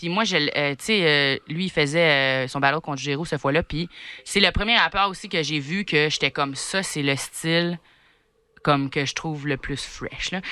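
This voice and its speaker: A woman with an Acadian accent speaks at a moderate pace in a very deep, low register, her tone bright and sharp. Her pitch varies in an ordinary way, and the recording is very clean with a silent background. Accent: Acadian French, noted as charming. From New Brunswick, Canada. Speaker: comedian and battle rapper. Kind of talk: podcast interview answer. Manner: casual, chatty.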